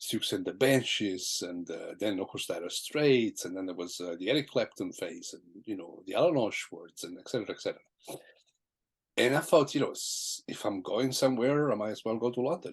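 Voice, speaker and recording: A man with an Italian accent at a fairly quick pace. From southern Italy. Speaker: jazz guitarist. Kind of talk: interview. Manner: halting.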